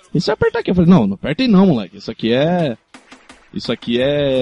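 A man's voice in dry, close sound with no echo, against noticeable background noise. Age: 20s. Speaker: podcast co-host. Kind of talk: casual chat.

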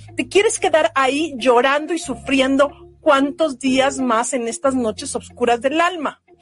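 With lively intonation and a high pitch, a woman speaks against noticeable background noise. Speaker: podcast host, wellbeing coach. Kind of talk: motivational monologue. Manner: warm, gentle and unhurried; sometimes speeds up.

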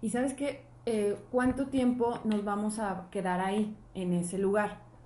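A woman speaks at a fairly high pitch, with fairly even intonation. Her tone is dark and mellow, and somewhat breathy. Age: 40s. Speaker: podcast co-host. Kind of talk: casual chat.

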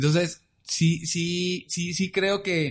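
Over a quiet background, a man speaks in a high pitch with a Mexican accent. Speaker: podcast co-host. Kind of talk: casual chat. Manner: stammering, repeats words.

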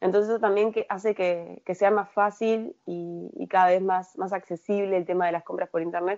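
Speaking with hardly any pauses and fairly even intonation, a woman has an ordinary speaking voice. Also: medium pitch for a woman, moderate pace. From Uruguay. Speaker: procurement analyst at a tech company. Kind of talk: interview. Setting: remote call from Uruguay.

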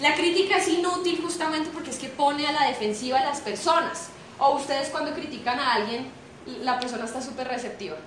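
Against noticeable background noise and audible room echo, a woman talks at a fairly quick pace with a high pitch. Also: ordinary pitch variation. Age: 20s. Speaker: jazz singer and motivational speaker. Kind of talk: motivational talk. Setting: stage with audience. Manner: animated.

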